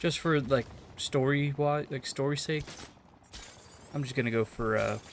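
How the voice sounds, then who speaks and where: Soft-spoken and fairly high in pitch, a man talks with fairly even intonation. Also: moderate pace. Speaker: gaming YouTuber. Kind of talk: gameplay commentary. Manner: halting.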